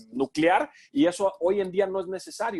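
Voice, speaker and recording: A man speaks with lively intonation on a very clean recording with a silent background and a dry, close sound with no echo. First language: English (speaking Spanish). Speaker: sports commentator. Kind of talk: Q&A talk. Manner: halting, many fillers.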